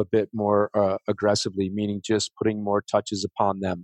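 Dry and close with no echo, a man speaks with an American accent at a fairly low pitch. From Chicago west suburbs. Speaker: real estate investor. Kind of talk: interview. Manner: halting, many fillers.

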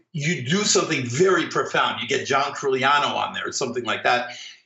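A moderate tempo and lively intonation, plus audible echo from the room. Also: man. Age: 50s. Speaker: orchestral clarinetist. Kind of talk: casual interview.

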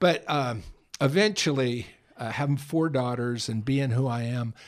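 An unremarkable speaking voice with an American accent, moderate in pace and lively in intonation, in a very clean recording with a silent background. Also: man. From San Francisco area, California. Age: 60s. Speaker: homeless mission director. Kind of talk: casual interview. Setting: studio.

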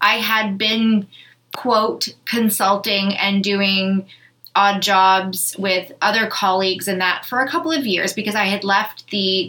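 In a plain, everyday voice, a woman of medium pitch with a Canadian accent speaks at a fairly slow pace with ordinary pitch variation. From Canada, Thunder Bay, Ontario. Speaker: podcast host, business owner. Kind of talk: casual chat. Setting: studio.

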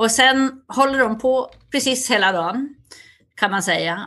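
A woman at a fairly slow pace, with ordinary pitch variation, against a quiet background. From Sweden, Västerdalarna (Dalarna). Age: 60s. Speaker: cultural institute director. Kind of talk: interview.

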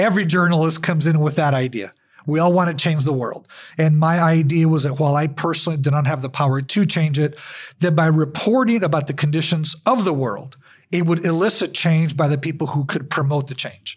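Speaking in an unremarkable speaking voice, a man with an American accent talks at a fairly quick pace, his fairly high pitch varying by an ordinary amount. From US Southwest, El Paso, Texas. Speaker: journalism professor and photographer. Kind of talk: interview.

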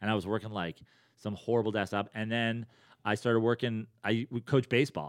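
On a very clean recording with a silent background and a dry, close sound with no echo, a man speaks in a normal speaking voice at a medium pitch, with fairly even intonation and a fairly quick pace. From New York, Westchester. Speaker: comedian. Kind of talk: casual chat.

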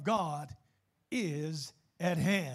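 A man talks in an animated tone. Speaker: preacher. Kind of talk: sermon to a live congregation, preaching and teaching on scripture. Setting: church. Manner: animated, rhetorical, rising emphasis and repeated phrases, call-and-response style; earnest, pastoral, warm.

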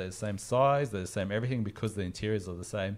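A man talks with an Australian accent. His pitch variation is ordinary. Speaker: comics collecting podcast host. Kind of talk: casual chat. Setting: video call.

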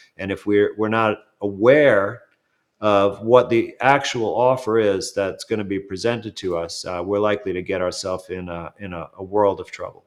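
A man with an American accent and an unremarkable speaking voice talks at a moderate pace with a fairly low pitch and fairly even intonation, over a quiet background. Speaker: doctor and commentator. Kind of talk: interview.

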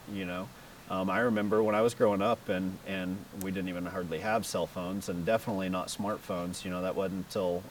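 In a Texan accent, a man with a very deep, low voice speaks at a fairly quick pace in a monotone, flat intonation. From Texas. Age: 30s. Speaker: professional off-road racer. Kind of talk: casual interview. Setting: race shop.

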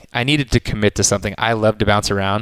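A man speaks in a fairly low voice. The sound is dry and close, with no echo. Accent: American. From Texas, Austin area. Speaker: sports event host. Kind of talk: casual interview. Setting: media headquarters studio. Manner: casual, with many fillers.

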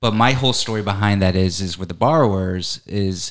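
Recorded very cleanly against a silent background, a man with an American accent talks at a moderate pace in a fairly low pitch, using ordinary pitch variation. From Connecticut. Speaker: mortgage company vice president. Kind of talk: casual interview chat. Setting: office studio.

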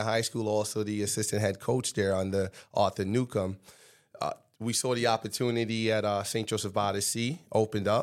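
This man has an American accent and a fairly low pitch, speaking in a flat monotone. The recording is very clean with a silent background. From Trinidad and Tobago, then Staten Island, New York from age about 11. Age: 30s. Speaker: high school football coach, former NFL player. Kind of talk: interview.

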